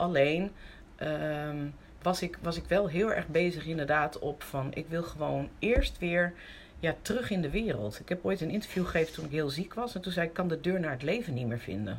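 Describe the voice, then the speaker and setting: A woman's fairly low pitch with lively intonation, vocal fry and a moderate pace. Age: 50s. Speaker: interview guest sharing recovery story. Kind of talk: personal testimony in conversation.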